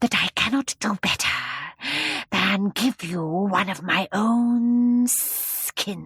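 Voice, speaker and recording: A soft-spoken, put-on character voice hisses as it moves at a very slow pace. The sound is dry and close with no echo, and the pitch varies in an ordinary way. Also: woman, medium pitch for a woman. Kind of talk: children's audiobook character voice. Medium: read story. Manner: slow, gracious, quietly commanding.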